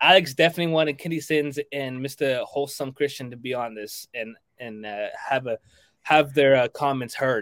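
This man has a normal speaking voice, fairly high in pitch, with ordinary pitch variation. He keeps a moderate pace, and his loudness swings widely. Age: young. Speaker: podcast co-host. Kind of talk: casual chat.

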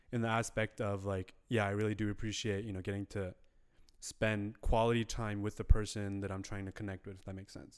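A man's normal speaking voice, fairly low and fairly quick, on a very clean recording with a silent background. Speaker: podcast co-host. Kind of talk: casual chat. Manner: playful, joking.

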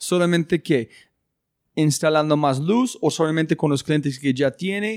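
In an English accent, the speaker goes at a fairly slow pace with ordinary pitch variation and very even loudness, on a very clean recording with a silent background and a dry, close sound with no echo. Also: man, fairly high pitch for a man. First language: English (speaking Spanish). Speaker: podcast host. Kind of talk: interview.

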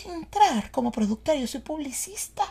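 The recording is very clean and the background silent. A woman talks in a high pitch. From Venezuela. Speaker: podcast host and actress. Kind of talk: casual chat. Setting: studio in New York.

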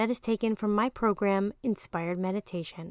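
A woman speaks at a medium pitch in a gentle, soothing, dark and mellow tone. The sound is dry and close with no echo, in a very clean recording with a silent background. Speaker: meditation guide and life coach. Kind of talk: guided meditation. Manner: slow, soothing and calm, with long pauses; gentle, soft-spoken, reassuring.

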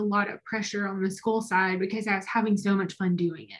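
Somewhat breathy delivery at a moderate pace. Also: woman. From Alabama, small town. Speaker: business consultant. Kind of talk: casual interview.

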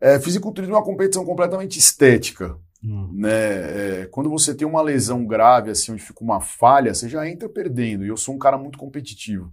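On a very clean recording with a silent background, a man of medium pitch talks at a very fast pace with hardly any pauses, very wide pitch swings and big swings in loudness. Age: 30s. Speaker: nutritionist and bodybuilding coach. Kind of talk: casual interview chat.

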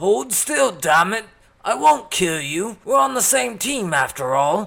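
At a fairly slow pace, the put-on character voice swings very widely in pitch. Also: man, high pitch for a man. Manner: taunting, reckless.

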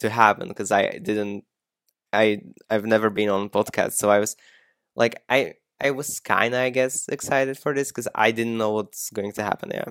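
A Slovak accent at a moderate pace, with ordinary pitch variation. The recording is very clean with a silent background, and the sound is dry and close with no echo. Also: man. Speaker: TikTok creator and aspiring musician. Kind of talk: casual interview.

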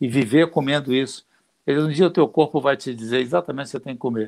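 A man's fairly high voice at a very fast pace, on a very clean recording with a silent background. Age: old. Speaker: jiu-jitsu grandmaster. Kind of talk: casual live stream chat.

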